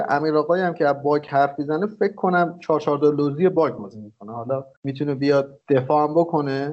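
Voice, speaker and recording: An unremarkable speaking voice, fairly quick in pace and ordinary in pitch variation. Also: man. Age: 30s. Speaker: podcast co-host. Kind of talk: casual chat.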